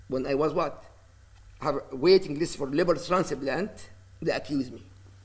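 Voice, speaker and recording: A man talks at a moderate pace. He has an Arabic accent. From Palestine (Gaza City). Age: 60s. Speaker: imam. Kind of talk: news interview. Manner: halting.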